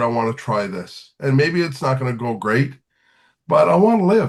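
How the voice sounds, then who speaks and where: A man speaks in a somewhat breathy voice. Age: 60s. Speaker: singer-songwriter and teacher. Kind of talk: podcast interview.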